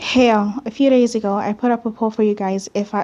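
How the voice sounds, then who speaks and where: Her voice is fairly high for a woman, with monotone, flat intonation. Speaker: video editing tutorial creator. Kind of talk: tutorial. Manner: stammering.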